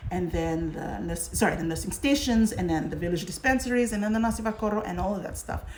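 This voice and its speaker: Noticeable background noise is present. A woman speaks at a medium pitch. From Fiji. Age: 40s. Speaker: current affairs host. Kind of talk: live social media talk show. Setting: livestream on social media.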